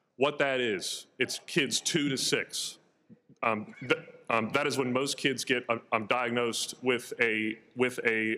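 With an American accent, a man at medium pitch talks at a fairly slow pace in a bright, sharp tone, his loudness very even and his intonation fairly even. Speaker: state legislator. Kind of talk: floor speech. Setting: legislative chamber.

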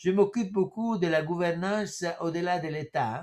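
A man with an Italian accent speaks in a high voice over a quiet background. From Italy. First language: Italian (speaking French). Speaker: professor. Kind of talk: lecture. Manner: halting. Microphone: webcam.

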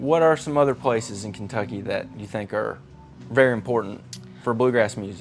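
Over music in the background, a man talks at a fairly quick pace and medium pitch, with ordinary pitch variation and big swings in loudness. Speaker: TV series host. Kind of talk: interview questions.

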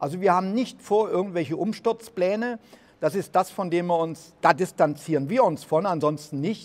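The pace of this man's speech is moderate. His voice sits at a high pitch. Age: 70s. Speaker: political commentator and business owner; political commentator. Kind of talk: speech to an audience; video introduction. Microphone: handheld.

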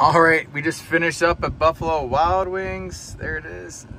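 Light background noise accompanies a man talking at a fairly slow pace with ordinary pitch variation, the sound dry with no echo. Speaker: EV vlogger. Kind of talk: casual vlog chat. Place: car. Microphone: phone near.

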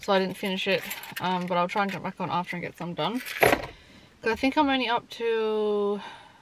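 A woman on a dry recording with no echo, with loud background noise. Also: ordinary pitch variation, fairly quick pace. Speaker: parent vlogger. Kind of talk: casual vlog chat. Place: car.

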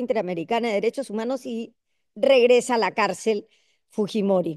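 A woman talks at a fairly slow pace. Behind her the background is quiet. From Peru. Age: 60s. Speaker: congresswoman; guest. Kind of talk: panel discussion. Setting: video call. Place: hall. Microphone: video call.

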